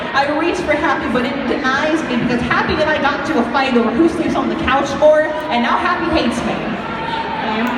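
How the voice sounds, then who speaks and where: Against noticeable background noise, a woman talks at a fairly quick pace in a high pitch, with ordinary pitch variation and hardly any pauses. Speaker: poet. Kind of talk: spoken word poetry performance.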